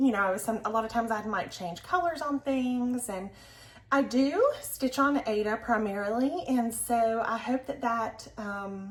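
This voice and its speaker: Someone speaks at a fairly slow pace in a Southern US accent. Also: woman, fairly high pitch for a woman, ordinary pitch variation. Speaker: crafting vlogger. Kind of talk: casual chat. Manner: casual, filler-heavy.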